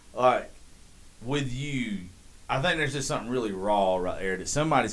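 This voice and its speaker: Audible room echo surrounds a man of medium pitch who talks at a very fast pace with a Southern US accent. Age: 30s. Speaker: podcast host. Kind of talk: casual chat.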